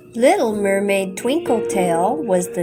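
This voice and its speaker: With music in the background, a woman's voice swings very widely in pitch. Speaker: grandmother reading to children. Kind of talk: children's bedtime story reading.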